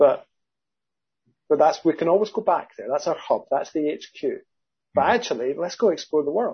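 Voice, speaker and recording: In a Scottish accent, the speaker moves at a fairly quick pace broken by long, frequent pauses. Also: man. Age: 50s. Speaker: accountant and business founder. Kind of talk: casual interview chat.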